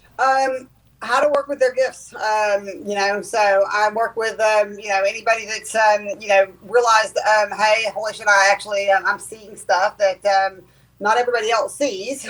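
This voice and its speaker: With a Southern US accent, a woman speaks at a moderate pace in a fairly high pitch with fairly even intonation. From US South. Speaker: clairvoyant medium and teacher. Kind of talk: casual interview chat. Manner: hesitant, many ums.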